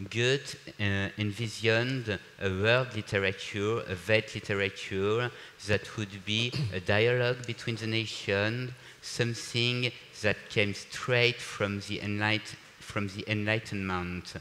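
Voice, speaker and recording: Noticeable background noise sits behind a man speaking in a French accent. His delivery is fairly slow, fairly low in pitch and flat in a monotone. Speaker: panel moderator. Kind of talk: panel discussion moderation. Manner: halting, many fillers.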